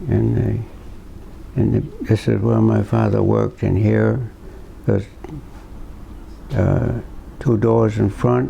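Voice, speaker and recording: Man with a Rhode Island accent, very slow pace, long and frequent pauses, very even loudness and noticeable background noise. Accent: Rhode Island New England. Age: 80s+. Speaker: local elder. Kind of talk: oral history interview. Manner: halting.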